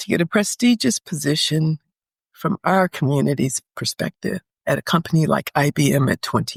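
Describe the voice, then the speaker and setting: A woman's voice shows vocal fry at a moderate pace. The sound is dry and close, with no echo. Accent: American. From US Midwest, Detroit. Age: 70s. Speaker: retired professional living abroad. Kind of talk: interview, life story.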